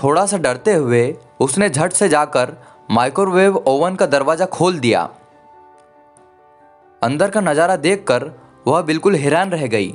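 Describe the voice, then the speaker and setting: Over music in the background, a man speaks with lively intonation and very even loudness, leaving long, frequent pauses. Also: fairly high pitch for a man. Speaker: voice-over narrator. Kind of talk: children's story narration. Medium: read story.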